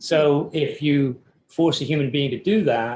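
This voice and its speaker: This man sounds somewhat breathy. He keeps his intonation fairly even. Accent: English. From England. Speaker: architecture professor. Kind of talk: podcast interview. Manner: hesitant, many fillers.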